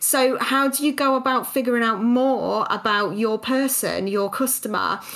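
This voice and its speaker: Noticeable background noise beneath a woman's fairly high pitch. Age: 30s. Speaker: podcast host and small business owner. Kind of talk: casual interview chat; scripted narration.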